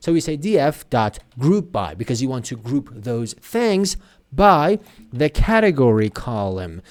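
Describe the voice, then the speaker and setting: This man talks at a moderate pace with a Persian accent. His fairly high pitch swings very widely. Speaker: programming tutor. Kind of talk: tutorial.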